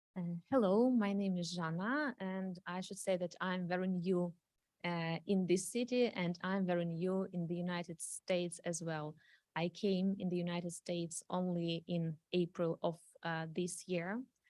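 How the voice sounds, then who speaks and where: Speaking at a fairly slow pace with a Ukrainian accent, a woman keeps a fairly low pitch and fairly even intonation. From Ukraine. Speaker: refugee speaking at council meeting. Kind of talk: public testimony. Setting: city council meeting. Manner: halting, many fillers.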